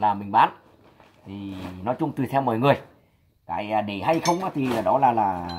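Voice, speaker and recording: A man's pitch moves in an ordinary way as he talks at a moderate pace. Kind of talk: casual vlog chat. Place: workshop. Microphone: phone near.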